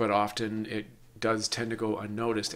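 The pace stays moderate. Intonation is monotone and flat. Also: man. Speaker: podcast host. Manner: robotic. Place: home room. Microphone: webcam.

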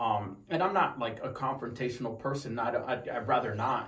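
Audible room echo surrounds a man whose voice is somewhat breathy, with an American accent. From Tucson, Arizona; Arizona. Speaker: wounded Marine veteran. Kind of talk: personal story interview. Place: home room.

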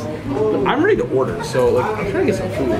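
A man at a moderate pace, with crowd noise in the background. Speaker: food vlogger. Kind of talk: casual vlog chat. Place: cafe. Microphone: phone near.

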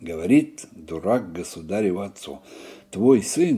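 A man speaks at a very slow pace in a dark, mellow tone. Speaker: storyteller. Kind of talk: reading a folk tale aloud. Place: home room.

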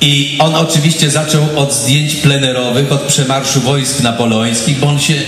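A man talks at a fairly slow pace over light background noise, with audible room echo. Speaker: guest. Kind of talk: anecdote told to audience. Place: stage. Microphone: handheld.

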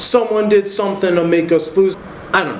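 There is audible room echo and light background noise. A man speaks with fairly even intonation. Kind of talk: comedy sketch monologue to camera. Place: home room.

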